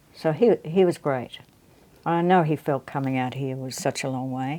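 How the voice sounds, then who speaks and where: With an Australian accent, a woman speaks in a very deep, low pitch and a dark, mellow tone, her pitch varying in an ordinary way. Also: moderate pace. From Australia, Melbourne. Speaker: guitarist and guitar teacher. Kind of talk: interview. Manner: halting.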